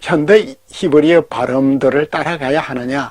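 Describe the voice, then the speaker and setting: A man speaks very slowly, his fairly high voice moving with ordinary pitch variation. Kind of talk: lecturing, explanatory.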